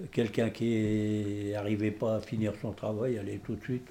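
A man's fairly low pitch in a dark, mellow tone, monotone and flat, at a fairly slow pace. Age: 70s. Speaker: retired coal miner. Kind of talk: casual chat. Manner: halting.

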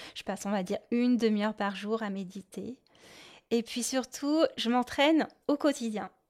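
A woman speaks at a moderate pace with ordinary pitch variation. The sound is dry and close with no echo, in a very clean recording with a silent background. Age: adult. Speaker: podcast host, adult-beginner clarinettist. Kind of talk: solo podcast monologue. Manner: hesitant, many fillers.

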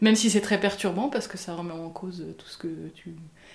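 A woman speaks at medium pitch and a moderate pace. Her intonation is fairly even, and there is audible room echo. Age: 30s. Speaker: interviewee sharing her beliefs. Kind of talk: personal testimony. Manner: halting, many hesitations and repetitions.

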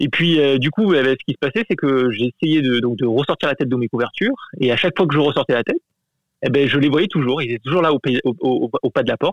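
A man with an ordinary speaking voice, fairly high in pitch, with ordinary pitch variation, very even loudness and a fairly quick pace. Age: adult. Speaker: listener sharing a story. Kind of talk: testimony.

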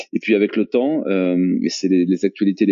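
A man with an unremarkable speaking voice talks at a moderate pace, his fairly low pitch showing ordinary variation. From France, Toulouse. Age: 40s. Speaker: entrepreneur, training company CEO. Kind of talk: podcast interview.

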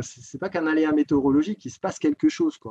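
The recording is dry and close, with no echo at all. A man delivers his words fairly quickly. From eastern France, Doubs (Jura). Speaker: public servant, ski resort area director. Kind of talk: interview. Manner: halting, many repetitions.

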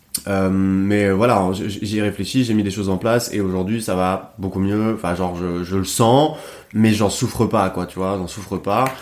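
A man's fairly low voice, fairly slow in pace, with fairly even intonation. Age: 30s. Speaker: podcast host. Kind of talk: casual chat. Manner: halting.

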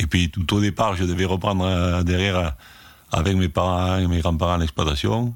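Here a man speaks in a very deep, low pitch at a moderate pace with ordinary pitch variation. The recording is very clean with a silent background, and his loudness is very even. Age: 70s. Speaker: retired winegrower. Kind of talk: interview testimony. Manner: halting.

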